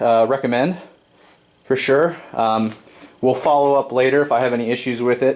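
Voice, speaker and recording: Talking at a fairly quick pace with long, frequent pauses, a man holds a medium pitch and very even loudness. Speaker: DIY tool reviewer. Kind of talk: product review tutorial. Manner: casual with fillers.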